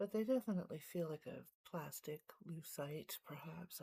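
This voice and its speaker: This soft-spoken voice moves at a very slow pace. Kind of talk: casual chat. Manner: hesitant.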